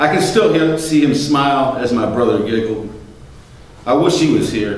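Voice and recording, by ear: Strong room echo surrounds a man of medium pitch who speaks at a moderate pace with lively intonation.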